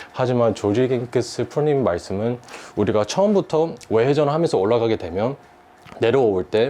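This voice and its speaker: The man's voice is medium in pitch. He talks fairly quickly. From United States. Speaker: golf instructor. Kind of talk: golf lesson explanation. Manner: formal.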